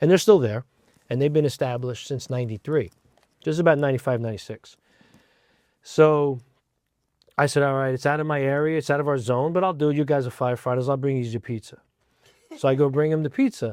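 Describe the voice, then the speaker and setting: A man with a New Jersey accent talks at a very fast pace broken by long, frequent pauses, his fairly high pitch showing ordinary variation. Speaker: fire rescue division chief. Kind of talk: interview. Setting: studio.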